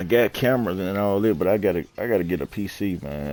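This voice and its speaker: A man talks at a moderate pace on a very clean recording with a silent background. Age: 30s. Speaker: video game streamer. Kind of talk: casual gaming chat. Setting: live stream.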